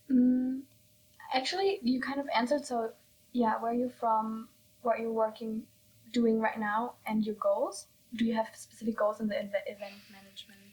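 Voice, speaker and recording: Here is a woman with a normal speaking voice at a fairly high pitch. Her pace is moderate and her pitch variation ordinary. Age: 20s. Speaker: podcast host. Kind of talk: casual interview.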